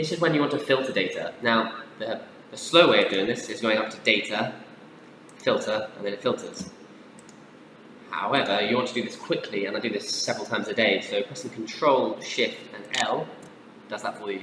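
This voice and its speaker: A man speaks at medium pitch with ordinary pitch variation, taking long, frequent pauses and making big swings in loudness. Audible room echo and noticeable background noise are present. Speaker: software tutorial presenter. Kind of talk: tutorial. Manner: fast; casual, with filler words.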